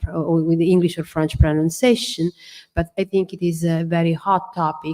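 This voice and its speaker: This woman speaks with an Italian accent at a fairly low pitch. The sound is dry and close with no echo. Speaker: architectural historian. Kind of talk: symposium discussion. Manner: hesitant, many fillers.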